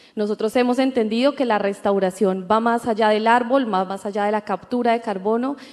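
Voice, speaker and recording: A woman with a normal speaking voice talks at a fairly quick pace, her fairly high pitch held in fairly even intonation. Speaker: entrepreneur, co-founder. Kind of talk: panel discussion. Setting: stage with audience.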